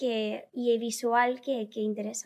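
A woman's dark, mellow voice at a fairly slow pace, against a quiet background. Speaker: viral content creator; podcast guest. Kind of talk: interview. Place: studio. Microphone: studio mic.

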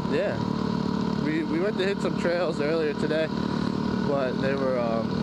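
Over loud background noise, the fairly slow speech sounds dry with no echo. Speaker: motorcycle rider vlogger. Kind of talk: casual vlog chat. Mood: relaxed and cheerful. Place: motorbike. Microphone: helmet.

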